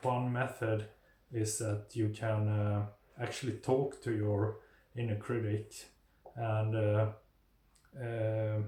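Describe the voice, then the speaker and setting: A man speaks at a very slow pace with a non-native accent. His voice is somewhat breathy. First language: not English. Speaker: mental health video creator. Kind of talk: informal talk to camera. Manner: halting, many fillers.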